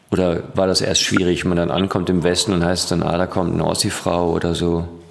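A man talks at a fairly quick pace in a very deep, low voice. Noticeable background noise runs behind him. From Ruhr area, Germany. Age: young. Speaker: podcast host. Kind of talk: casual interview. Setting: studio.

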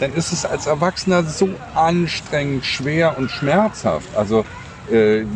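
A man's voice with noticeable background noise. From Berlin. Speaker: podcast co-host. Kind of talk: casual chat. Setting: outdoors in a park.

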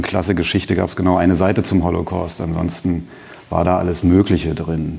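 Against noticeable background noise, a man with a very deep, low pitch speaks at a fairly quick pace in a monotone, flat intonation. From East Berlin, Germany. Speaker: memorial foundation director, historian. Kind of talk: panel discussion. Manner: hesitant, many fillers.

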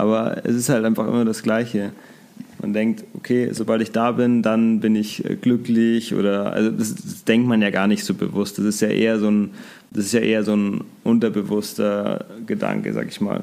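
The voice has a dark, mellow tone, a fairly even intonation and a moderate pace. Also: man, medium pitch for a man. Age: 20s. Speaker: social media coaching business worker. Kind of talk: interview.

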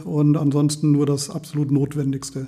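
The man has a fairly high pitch. His intonation is monotone and flat. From Lower Saxony, Walsrode. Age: 50s. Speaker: volunteer firefighter. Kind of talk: interview.

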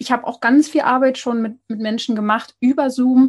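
A high-pitched woman's voice at a moderate pace, fairly even in intonation, over a quiet background. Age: 20s. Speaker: podcast host on skin health. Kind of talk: interview. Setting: internet call.

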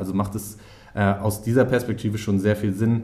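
The room echo is audible. A man speaks at a fairly low pitch. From northern Germany, Schleswig-Holstein near Hamburg. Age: 30s. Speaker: startup founder. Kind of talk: interview.

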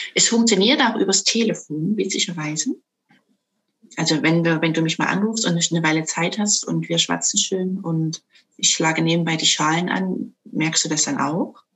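A woman's fairly low voice with vocal fry and very even loudness. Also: ordinary pitch variation, moderate pace. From Saxony, Dresden (eastern Germany). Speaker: sound bowl coach. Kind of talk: interview.

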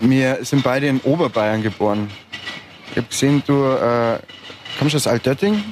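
Loudness stays very even as a man talks at a moderate pace with ordinary pitch variation. Long, frequent pauses break up his speech, over noticeable background noise. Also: medium pitch for a man. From Upper Bavaria. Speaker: podcast host. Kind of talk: casual interview. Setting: outdoors at a market.

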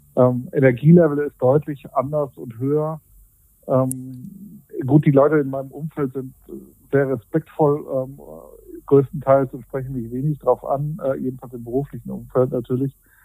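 The voice has a dark, mellow tone and fairly even intonation, with big swings in loudness. The sound is dry and close, with no echo. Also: man, medium pitch for a man, moderate pace. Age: 40s. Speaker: weight-loss coaching client. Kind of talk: interview. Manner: halting.

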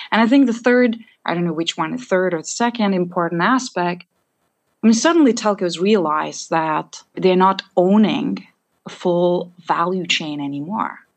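With a plain, everyday voice, a woman talks at a moderate pace and medium pitch, her intonation lively. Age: young. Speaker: analytics and AI executive. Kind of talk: interview conversation.

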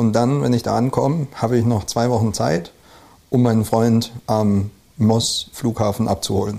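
A man with a slight Rhineland accent talks at a moderate pace. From Rhineland, Germany (Neuwied, Westerwald, Koblenz area). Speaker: brewer. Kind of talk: casual interview. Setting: indoors, over beer. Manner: hesitant, many fillers.

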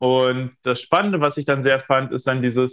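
A man speaks in a plain, everyday voice at a medium pitch. His pace is moderate, and the background is quiet. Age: 20s. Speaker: feng shui consultant and coach. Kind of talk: interview.

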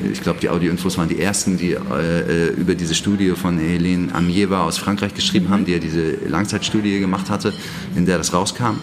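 A man's very deep, low voice at a very fast pace, fairly even in intonation and very even in loudness, with audible room echo and noticeable background noise. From northern Germany, Hamburg. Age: 40s. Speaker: trade magazine editor. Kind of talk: interview. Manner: hesitant, many filler sounds.

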